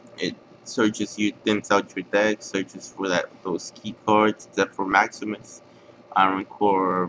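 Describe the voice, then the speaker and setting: Over noticeable background noise, a man talks at a very slow pace in a fairly low pitch. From outside the US. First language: not English. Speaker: card game player. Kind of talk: deck profile tutorial. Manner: halting, many fillers.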